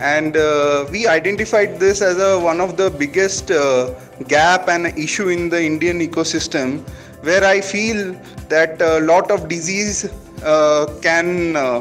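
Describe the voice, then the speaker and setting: With music in the background, a man speaks at a high pitch and a fairly slow pace with ordinary pitch variation. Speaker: food startup founder. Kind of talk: interviewer, casual conversation.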